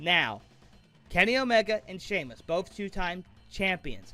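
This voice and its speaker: Projecting his raised voice over music in the background, a man talks at a moderate pace with a high pitch and lively intonation. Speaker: amateur wrestling commentator. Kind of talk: wrestling commentary predictions.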